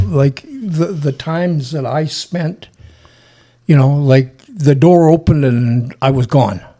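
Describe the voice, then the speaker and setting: With a western Canadian accent, a man speaks at a very slow pace in a fairly high pitch with ordinary pitch variation. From British Columbia, Canada. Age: 70s. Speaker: wildlife trapper and search and rescue veteran. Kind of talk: casual interview storytelling. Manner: halting, repeats words.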